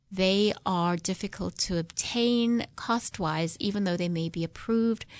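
A woman with a South African accent speaks at a fairly slow pace and medium pitch, with ordinary pitch variation, against a quiet background. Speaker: neurologist, headache specialist. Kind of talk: radio interview. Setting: studio.

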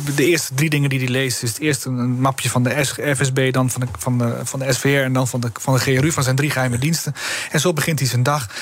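Over noticeable background noise, a man speaks at a fairly quick pace. His pitch is medium and his intonation fairly even. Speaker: politician. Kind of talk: radio interview.

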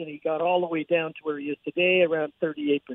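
A man talks at a fairly quick pace in a fairly high voice. It is an ordinary speaking voice. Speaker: pollster. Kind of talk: interview. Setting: phone call from abroad.

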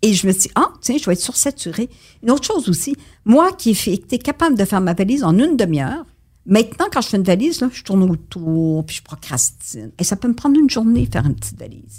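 In a very clean recording with a silent background, a woman talks very fast with vocal fry. Her pitch swings very widely, and her loudness swings a lot. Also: medium pitch for a woman. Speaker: retired war correspondent. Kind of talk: interview.

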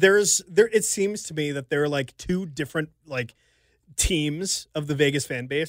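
In an ordinary speaking voice with an American accent, a man talks at a moderate pace with a fairly high pitch and ordinary pitch variation. The recording is very clean, with a silent background. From Richmond, Virginia. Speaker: sports journalist. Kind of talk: casual chat. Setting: studio. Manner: joking.

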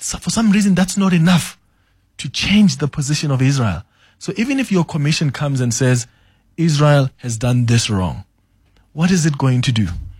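Heard on a very clean recording with a silent background, a man with a fairly high, somewhat breathy voice talks at a moderate pace with very wide pitch swings. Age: young. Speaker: radio host. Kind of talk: radio interview. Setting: radio studio.

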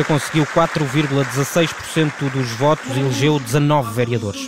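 Over crowd noise and audible room echo, a man talks in a fairly high voice with fairly even intonation. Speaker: radio reporter. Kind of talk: live commentary. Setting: convention hall. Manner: halting, with fillers.

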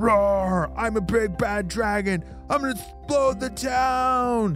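Over clear background music, a put-on character voice bellows at a fairly high pitch and a fairly slow pace. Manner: roaring.

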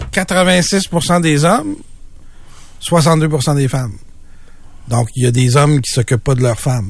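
A somewhat breathy man with a Quebec accent, at a very slow pace, with lively intonation and long, frequent pauses. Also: fairly high pitch for a man. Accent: Québécois French. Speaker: radio co-host, news columnist. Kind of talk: casual radio chat.

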